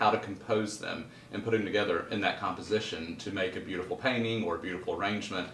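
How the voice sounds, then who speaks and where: A man with a Southern US accent, fairly low pitch, and fairly quick pace, amid noticeable background noise and audible room echo. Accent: Southern US (Georgia). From US South, Middle Georgia (Kathleen). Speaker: garden designer and author. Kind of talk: interview. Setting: at his home.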